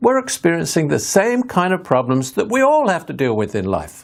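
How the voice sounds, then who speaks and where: A man with an English accent speaks at a moderate pace in a high voice, his pitch swinging very widely. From England. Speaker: author and hypnotherapist. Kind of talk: recorded video talk.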